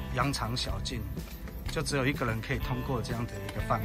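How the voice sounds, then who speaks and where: Clear background music under a man's moderate pace. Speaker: hike guide vlogger. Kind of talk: casual vlog chat, tour commentary. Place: open country. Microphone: phone near.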